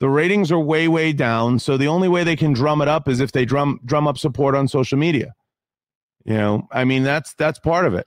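A man's plain, everyday voice, fairly high-pitched for a man, with ordinary pitch variation, very even loudness and a fairly quick pace against a quiet background. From Italian-American. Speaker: podcaster and YouTuber. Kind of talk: casual chat.

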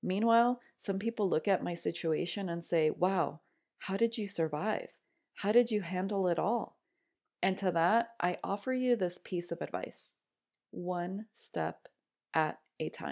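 Against a very clean recording with a silent background, a woman speaks in an animated tone at a fairly slow pace, medium in pitch with ordinary pitch variation. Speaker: podcast host. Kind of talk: personal monologue. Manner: loud.

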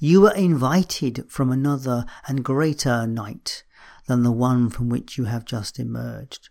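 Here is a man with a normal speaking voice at a medium pitch. He talks fairly slowly, with ordinary pitch variation. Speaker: midlife coach and podcast host. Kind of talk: poetry reading aloud, read-out poem at start; solo shortcast monologue. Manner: slow, measured, contemplative; reverent, gentle, unhurried delivery with pauses.

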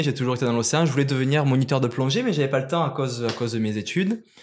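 Very fast male speech with hardly any pauses. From southern France (Marseille area, Provence). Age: 30s. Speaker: ultra-trail runner. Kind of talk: interview. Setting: studio.

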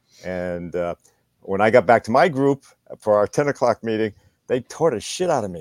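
This man has an unremarkable speaking voice at a medium pitch, with lively intonation and a moderate pace. His sound is dry and close, with no echo. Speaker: guest commentator. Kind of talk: casual interview chat. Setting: video call.

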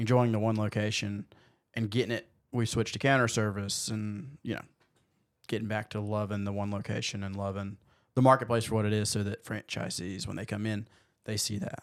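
In a very clean recording with a silent background, a man with an American accent uses a plain, everyday voice, fairly low in pitch with fairly even intonation. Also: fairly quick pace. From US South. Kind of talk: casual chat.

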